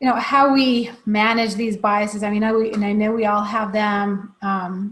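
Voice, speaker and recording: Speaking with an American accent, a woman uses a fairly high, somewhat breathy voice at a moderate pace. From outside the US. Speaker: company CEO and host. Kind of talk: interview.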